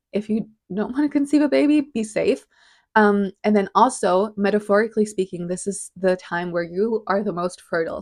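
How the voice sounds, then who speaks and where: A woman speaks at a medium pitch with a non-native accent. The background is quiet. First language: not English. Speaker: podcast host. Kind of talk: casual explanatory monologue. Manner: casual, hesitant with fillers.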